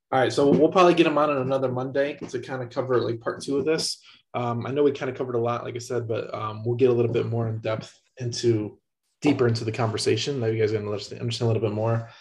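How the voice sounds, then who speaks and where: Over a quiet background, a man with a medium pitch speaks at a very fast pace, somewhat breathy, with fairly even intonation. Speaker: podcast co-host. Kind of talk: casual chat. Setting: video call.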